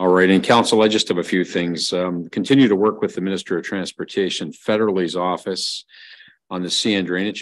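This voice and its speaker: A man speaks in a very deep, low voice with fairly even intonation against a quiet background. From Ontario, Canada. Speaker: mayor chairing council meeting. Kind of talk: council meeting. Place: meeting room. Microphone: podium.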